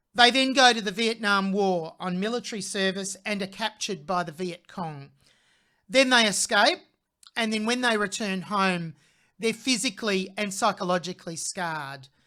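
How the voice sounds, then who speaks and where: A woman with an Australian accent speaks at a moderate pace and medium pitch, with ordinary pitch variation and a bright, sharp tone, on a very clean recording with a silent background. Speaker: music reaction channel host, vocal coach. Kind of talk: video reaction commentary. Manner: conversational, occasional self-corrections.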